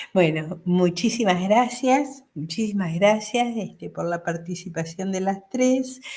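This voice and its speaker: At a very slow pace and with hardly any pauses, a woman speaks in a somewhat breathy voice. Her pitch is medium and her tone dark and mellow. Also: ordinary pitch variation. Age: 60s. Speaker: academic commentator. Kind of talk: panel commentary.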